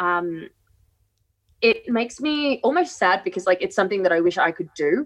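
With an Australian accent, a woman speaks at a moderate pace with very wide pitch swings. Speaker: co-host. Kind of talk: casual chat. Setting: video call.

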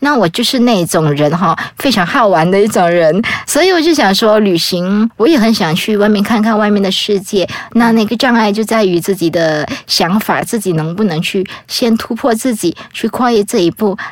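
Lively intonation comes at a moderate pace with very even loudness. Noticeable background noise runs underneath. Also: woman, medium pitch for a woman. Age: 30s. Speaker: travel author with muscular atrophy, wheelchair user. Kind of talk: casual interview.

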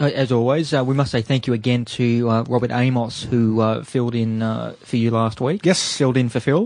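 A man with an Australian accent, very even loudness and fairly even intonation. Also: medium pitch for a man, moderate pace. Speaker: radio host. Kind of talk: community radio show patter, live on-air hosting and reading news items. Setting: radio studio. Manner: relaxed, chatty, cheeky banter.

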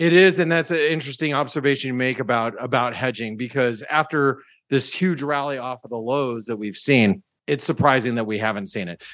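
A man speaks at a fairly quick pace with ordinary pitch variation, in a normal speaking voice. The background is quiet. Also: medium pitch for a man. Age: 50s. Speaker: trader. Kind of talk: casual market discussion.

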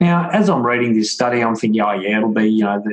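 Music plays in the background as a man talks with an Australian accent. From Melbourne, Australia. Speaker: author and wellness speaker, former footballer. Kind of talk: interview, conversational. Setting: remote call.

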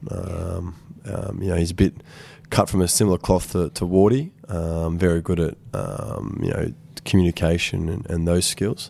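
At a moderate pace, a man with an Australian accent speaks in a very deep, low pitch and a dark, mellow tone, with ordinary pitch variation. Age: 20s. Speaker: football team captain. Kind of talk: interview. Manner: hesitant, many fillers.

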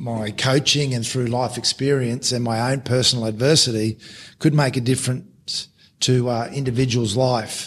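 With an Australian accent, a man speaks at a moderate pace and medium pitch. His voice is somewhat breathy, with fairly even intonation. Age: 50s. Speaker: former rugby league coach, podcast co-host. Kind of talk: casual interview conversation.

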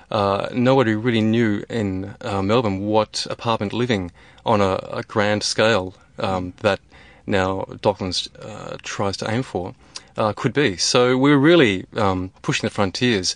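Speaking fairly slowly, a man with a fairly low pitch uses ordinary pitch variation. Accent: Australian. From Australia, rural North West Tasmania. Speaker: architect. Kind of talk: interview. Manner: hesitant, many fillers.

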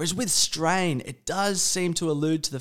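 Recorded very cleanly against a silent background, the speaker has an Australian accent. The pace is moderate and the pitch varies in an ordinary way. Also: man. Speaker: podcast host, interviews his father. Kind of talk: casual conversation, interview.

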